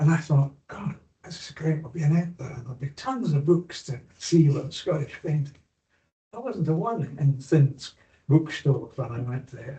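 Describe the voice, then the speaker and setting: A dark, mellow tone, somewhat breathy, with fairly even intonation. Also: man. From Scotland, Clackmannanshire. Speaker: abstract painter. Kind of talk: panel discussion.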